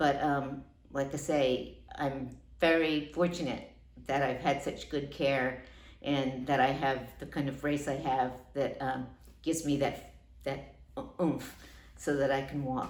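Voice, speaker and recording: With an American accent, the speaker uses monotone, flat intonation at a fairly slow pace, leaving long, frequent pauses in audible room echo. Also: woman, very deep, low pitch for a woman. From US Northeast, Long Island New York. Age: 60s. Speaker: patient. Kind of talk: testimonial. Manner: hesitant with fillers.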